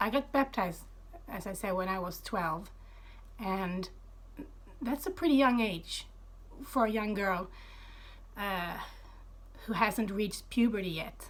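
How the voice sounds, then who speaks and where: Speaking at a fairly slow pace, a woman with a Swedish accent uses lively intonation. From Sweden. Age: 30s. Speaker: former Jehovah's Witness telling her story. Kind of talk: personal testimony. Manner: halting, many fillers.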